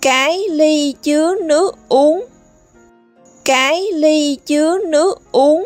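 With music in the background, a woman in a Southern Vietnamese accent speaks at a very slow pace, her high pitch showing ordinary variation. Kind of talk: children's vocabulary teaching. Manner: slow, clear, repetitive.

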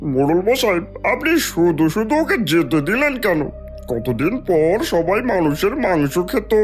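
A cartoonish character voice at a middle pitch speaks at a fairly slow pace. Clear music plays in the background. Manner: menacing, gloating.

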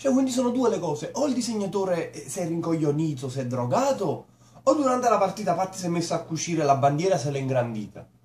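A man talks at a very fast pace. Audible room echo is present. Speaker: cartoon reviewer. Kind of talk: comedic commentary. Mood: mocking, amused. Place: home room. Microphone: webcam.

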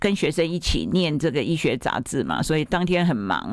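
With a very deep, low pitch and vocal fry, a woman talks at a moderate pace with lively intonation. The sound is dry with no echo, over a quiet background. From Taiwan. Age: 70s. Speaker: plastic surgeon and author; interviewee. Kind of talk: radio interview. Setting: radio studio. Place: studio.

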